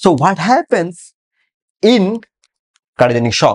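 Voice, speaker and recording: Over a quiet background, a man speaks at a moderate pace with very wide pitch swings. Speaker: medical lecturer. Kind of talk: lecture. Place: classroom.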